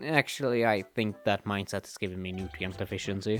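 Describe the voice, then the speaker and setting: Over music in the background, a man talks at a fairly quick pace in a fairly low pitch. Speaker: movie reviewer. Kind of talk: comedic skit intro to camera.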